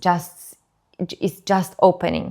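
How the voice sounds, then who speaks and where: On a very clean recording with a silent background, a woman with a non-native accent speaks at a medium pitch. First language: not English. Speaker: birth educator. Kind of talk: educational talk. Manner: halting, with repetitions and fillers.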